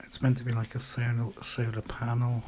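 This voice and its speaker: This man's voice sits at a medium pitch. It is quiet, with a dark, mellow tone. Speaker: hobbyist maker. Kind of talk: casual show-and-tell. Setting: at home late at night. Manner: quiet, keeping voice down; casual, hesitant.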